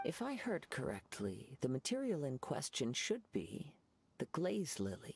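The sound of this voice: Putting on a character voice, a man speaks at medium pitch and a fairly slow pace with very wide pitch swings, a slightly husky edge, a slightly mellow tone and vocal fry.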